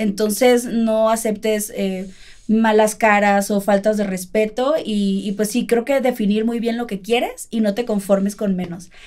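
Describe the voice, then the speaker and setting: Her pace is fairly slow and the background quiet. The woman's voice sits fairly high. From Mexico, Culiacán, Sinaloa. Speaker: YouTuber and singer. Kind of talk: casual chat. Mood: warm, affectionate. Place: home room.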